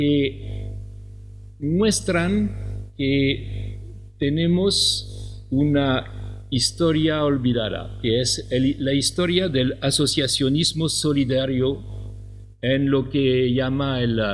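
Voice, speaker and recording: Someone speaks very slowly in a French accent. Music plays in the background, and the room echo is audible. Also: man. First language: French (speaking Spanish). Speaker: professor. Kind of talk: lecture. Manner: halting, with many fillers.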